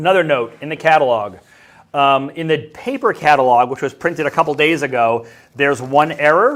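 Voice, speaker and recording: With a fairly high pitch and ordinary variation, a man talks at a fairly quick pace in a very clean recording with a silent background. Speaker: school staff member presenting to students. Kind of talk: school announcement broadcast. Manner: fast.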